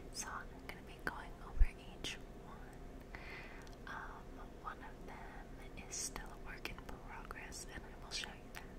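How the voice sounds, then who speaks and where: Against loud background noise, a woman speaks with long, frequent pauses. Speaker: ASMR content creator. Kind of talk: ASMR whisper-style talk to camera. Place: home room. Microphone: studio mic.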